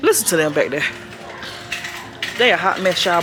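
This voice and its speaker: Music can be heard behind a woman as she talks. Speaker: family vlogger. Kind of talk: casual vlog chat while shopping. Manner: loud.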